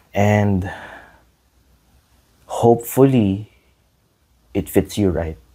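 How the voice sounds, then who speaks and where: Long, frequent pauses break up a man's very slow speech. His voice has a fairly low pitch. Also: ordinary pitch variation. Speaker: podcast host. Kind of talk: casual solo podcast talk. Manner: halting, self-correcting.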